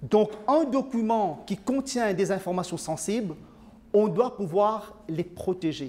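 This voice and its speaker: A man with a Mauritian accent speaks at a very slow pace in a high voice with ordinary pitch variation, over noticeable background noise. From Mauritius. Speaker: IT consultant. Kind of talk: presentation. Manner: hesitant, many fillers.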